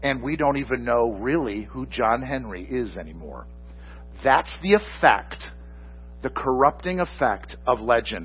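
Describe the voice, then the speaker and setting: Over music in the background, a man with a fairly low pitch speaks with very wide swings in pitch. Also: fairly slow pace. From Michigan. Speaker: pastor. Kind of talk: sermon.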